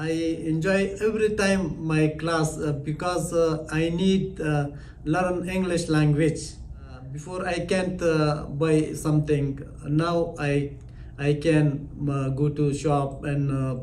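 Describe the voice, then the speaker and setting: A man's fairly high voice at a very slow pace, fairly even in intonation, with audible room echo and noticeable background noise. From Afghanistan. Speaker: language student, former tailor. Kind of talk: testimonial interview. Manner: halting, basic English.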